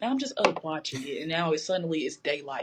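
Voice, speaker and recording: A woman with a Southern US accent and a very deep, low pitch. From Georgia, US. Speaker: poet, chef and creative director. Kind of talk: casual chat.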